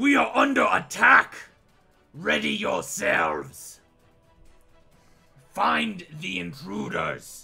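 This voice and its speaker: A man shouts in a raspy, put-on character voice at a very slow pace, with long, frequent pauses. Faint music plays in the background. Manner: commanding shout.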